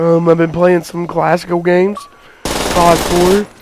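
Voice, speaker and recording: A high-pitched man, fairly slow and fairly even in intonation, against noticeable background noise. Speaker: gaming YouTuber. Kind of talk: gameplay commentary. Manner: casual, halting with fillers.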